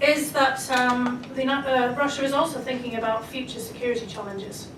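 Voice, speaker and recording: Over noticeable background noise, a woman with a high pitch speaks at a fairly quick pace with fairly even intonation. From Scotland. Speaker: foreign policy expert. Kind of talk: panel discussion. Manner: hesitant, many fillers.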